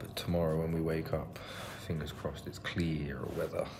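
Very deep, low male voice, medium pace, noticeable background noise. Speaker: travel vlogger. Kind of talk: casual vlog chat. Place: home room. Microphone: phone near.

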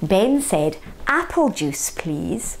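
Text given plain reading aloud

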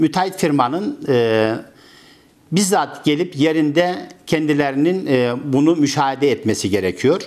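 Speaking at a very slow pace, a man uses lively intonation and a fairly high pitch. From Turkey, Karaman province (central Anatolia); Turkey. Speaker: construction company owner, former imam. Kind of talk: interview; interview answer. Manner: halting, many filler sounds. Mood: calm, earnest. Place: office. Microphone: lapel.

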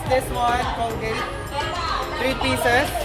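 A woman speaks at a very slow pace over loud music in the background. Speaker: shopping vlogger. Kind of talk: casual vlog chat. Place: shop. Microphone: phone near.

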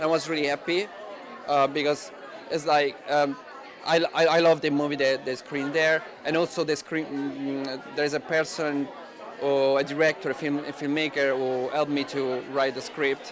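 Amid crowd noise in the background, a man with an Italian accent and fairly high pitch speaks at a moderate pace in a monotone, flat intonation. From Italy, Rome. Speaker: film director. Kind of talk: interview. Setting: film festival. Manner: halting, many fillers. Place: hall. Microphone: handheld.

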